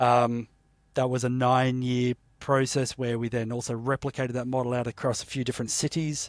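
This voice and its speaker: At a fairly quick pace, a man with a medium pitch speaks in a monotone, flat way, the sound dry and close with no echo and the recording very clean over a silent background. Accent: Australian. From Australia, Sydney. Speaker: entrepreneur, company founder. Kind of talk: interview conversation.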